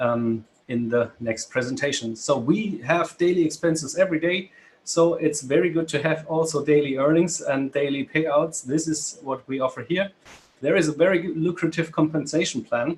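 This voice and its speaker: A man speaks in a fairly high voice at a moderate pace. His pitch varies in an ordinary way. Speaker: business presenter. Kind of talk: webinar presentation. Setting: video call. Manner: halting.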